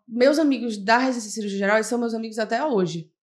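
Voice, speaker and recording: Woman with a fairly high pitch. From Serra Talhada, Pernambuco, Brazil. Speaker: medical resident in urology. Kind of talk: podcast interview, casual chat. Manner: animated.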